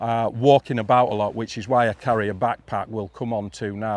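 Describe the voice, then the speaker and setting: This man speaks with a northern English accent at medium pitch and a moderate pace, the sound dry and close with no echo. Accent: northern English (Yorkshire-ish). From northern England, Yorkshire border. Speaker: fly fishing instructor. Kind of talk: live talk to audience.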